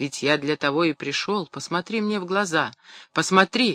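A natural reading voice with pitch that varies in the usual way

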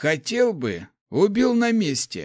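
In a put-on character voice, a man speaks slowly at a high pitch, with very wide pitch swings and a slightly mellow tone. The recording is very clean, with a silent background.

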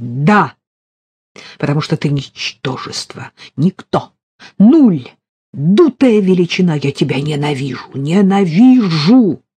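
A put-on character voice sits at a middle pitch. It moves at a fairly slow pace with long, frequent pauses. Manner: shouting, hateful.

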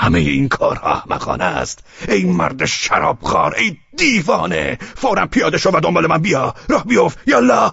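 A man shouts in a put-on character voice. His loudness stays very even. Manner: shouting, angry.

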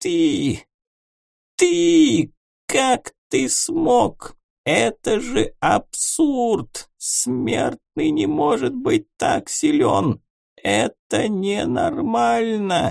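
Using a put-on character voice, a man with a high pitch speaks at a very slow pace with a hissing sound. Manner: weak, hissing.

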